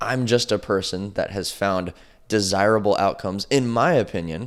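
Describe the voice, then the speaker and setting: Using ordinary pitch variation, a man speaks at a moderate pace with a fairly low pitch. The recording is very clean, with a silent background. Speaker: podcast host and mentor. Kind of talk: solo podcast monologue. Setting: studio, alone in front of camera.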